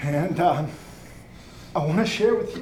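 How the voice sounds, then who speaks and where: Through audible room echo and noticeable background noise, a man speaks at a high pitch. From Brazil. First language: Portuguese. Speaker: doctor. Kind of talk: memorial tribute speech.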